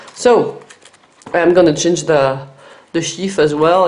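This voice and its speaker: There is audible room echo as a woman speaks at a fairly slow pace with a fairly low pitch and ordinary pitch variation. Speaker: knife reviewer. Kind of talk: product review tutorial. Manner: hesitant, many fillers.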